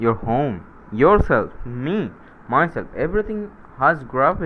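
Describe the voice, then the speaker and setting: Talking at a very slow pace with a non-native accent, a man uses lively intonation. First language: not English. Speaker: science YouTuber. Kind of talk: casual explainer monologue. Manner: halting, many fillers and self-corrections.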